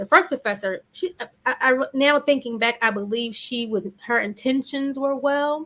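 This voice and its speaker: Her intonation lively and varied, a woman is talking. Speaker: therapist and confidence coach. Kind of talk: interview. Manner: fast.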